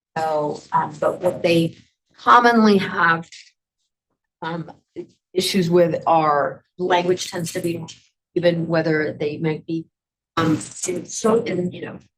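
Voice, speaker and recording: A woman speaks very slowly in a somewhat breathy, fairly low voice with ordinary pitch variation, big swings in loudness and long, frequent pauses. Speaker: conference presenter on adult education. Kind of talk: workshop presentation. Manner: hesitant, many fillers.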